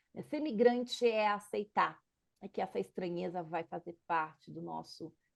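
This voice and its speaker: Here is a woman speaking. She goes at a fairly slow pace. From Brazil. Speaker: political scientist and activist. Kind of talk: interview.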